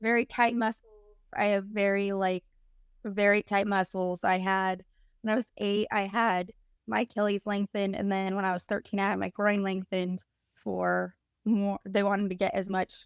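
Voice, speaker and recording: A woman at a moderate pace, medium in pitch, monotone and flat in intonation, with a dry, close sound with no echo and a very clean recording with a silent background. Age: 30s. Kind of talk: interview testimony. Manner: hesitant, many fillers.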